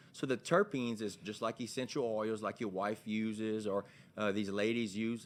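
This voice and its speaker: A man with a Louisiana accent, fairly low in pitch, at a moderate pace, in a very clean recording with a silent background. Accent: Louisiana local. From Louisiana, Vermilion Parish (Abbeville). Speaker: hemp store owner. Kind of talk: testimony. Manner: halting.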